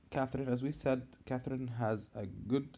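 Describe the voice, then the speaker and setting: A man with an Arabic accent, dark and mellow in tone, at a fairly slow pace with fairly even intonation. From Egypt. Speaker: gaming video creator. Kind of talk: tutorial.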